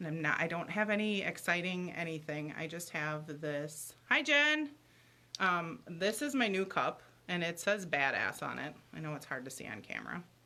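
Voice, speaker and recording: Loud and bright, a woman with a fairly low pitch and a sharp tone talks at a moderate pace with lively intonation. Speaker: livestream host. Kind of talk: casual chat. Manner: chatty, rambling.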